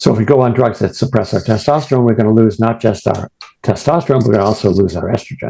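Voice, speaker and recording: A man's medium-pitched voice with a dark, mellow tone and ordinary pitch variation at a very fast pace. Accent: American. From New England, US. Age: old. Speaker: retired professor and prostate cancer patient. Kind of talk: presentation. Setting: video call.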